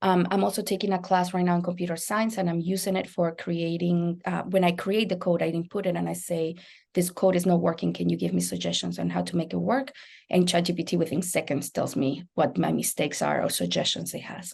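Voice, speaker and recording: A woman with a Spanish accent at a fairly quick pace. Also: quiet background. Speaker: biology lecturer. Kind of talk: panel presentation.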